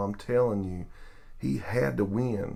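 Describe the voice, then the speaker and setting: Audible room echo surrounds a man speaking with a Southern US accent. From US South. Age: middle-aged. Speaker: sports vlogger. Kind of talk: video tribute monologue. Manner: casual, hesitant.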